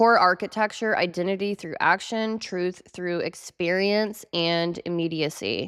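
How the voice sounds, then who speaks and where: A woman talks at a fairly slow pace with hardly any pauses, using an ordinary speaking voice. Her pitch is medium and her intonation fairly even. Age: 30s. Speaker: astrology and psychology video creator. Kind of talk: solo video talk reading from notes. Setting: home studio with bay door open, cold.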